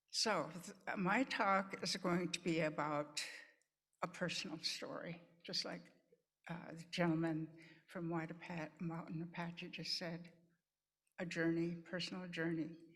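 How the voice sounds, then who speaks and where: A woman's fairly low-pitched voice, fairly even in intonation and fairly slow, with long, frequent pauses and audible room echo. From Pine Ridge Reservation, South Dakota (Lakota). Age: 80s+. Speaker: nurse and nursing educator. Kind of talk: conference talk. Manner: halting, with repetitions.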